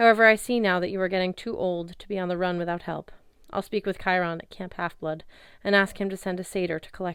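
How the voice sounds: A natural reading voice. The intonation stays fairly even.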